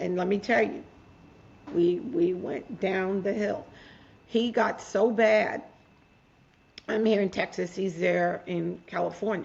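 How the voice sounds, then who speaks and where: At a very slow pace full of long, frequent pauses, a woman speaks at medium pitch with vocal fry and ordinary pitch variation. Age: 60s. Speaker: author and mental health advocate. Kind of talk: interview storytelling. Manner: animated.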